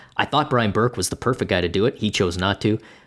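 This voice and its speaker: A plain, everyday voice from a man, fairly low in pitch, fairly even in intonation, at a fairly quick pace. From Canada. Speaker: hockey writer, podcast co-host. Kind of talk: casual sports chat. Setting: remote from home dining room.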